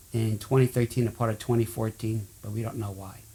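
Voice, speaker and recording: Dark, mellow tone from a man, somewhat breathy in delivery. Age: 70s. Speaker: person with chemical sensitivity. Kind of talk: testimony.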